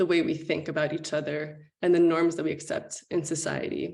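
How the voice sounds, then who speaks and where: A woman's fairly low voice at a moderate pace. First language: Spanish. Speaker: panelist on diversity and inclusion. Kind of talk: panel discussion. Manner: hesitant with frequent fillers.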